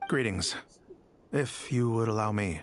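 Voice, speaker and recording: Someone uses a raspy, low-pitched put-on character voice at a moderate pace. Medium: video game. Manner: formal, precise, polite.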